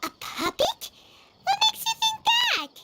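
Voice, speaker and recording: Against background music, a squeaky, put-on character voice at an extremely high pitch speaks at a moderate pace. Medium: video game. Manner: inquisitive, excitable.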